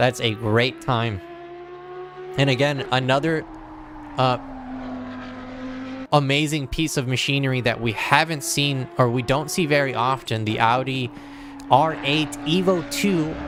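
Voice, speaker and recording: With an American accent, a man talks at a fairly slow pace with ordinary pitch variation and long, frequent pauses over noticeable background noise. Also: fairly high pitch for a man. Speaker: sim racing commentator. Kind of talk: live commentary.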